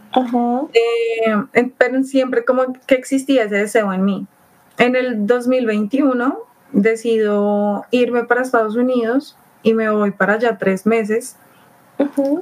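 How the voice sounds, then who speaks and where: A woman speaks at a very slow pace in a high pitch. Her intonation stays fairly even over noticeable background noise. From Colombia, Bogotá. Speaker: traveler. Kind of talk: casual chat.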